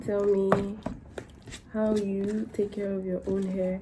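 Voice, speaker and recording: A woman talks amid noticeable background noise, and audible room echo surrounds her voice. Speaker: hair care vlogger. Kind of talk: casual vlog tutorial. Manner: casual, rambling.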